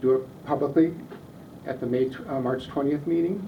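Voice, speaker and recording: With audible room echo, a man with an American accent and a fairly high pitch talks at a moderate pace with fairly even intonation. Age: 70s. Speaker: neighborhood group leader. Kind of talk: public meeting discussion. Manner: repetitive, halting.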